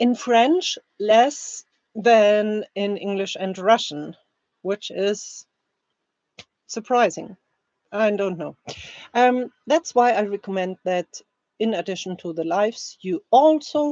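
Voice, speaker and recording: A woman with a German accent at a very slow pace, lively intonation, and long, frequent pauses. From Germany. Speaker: language teacher. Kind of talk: reading aloud; live stream chat. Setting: live stream.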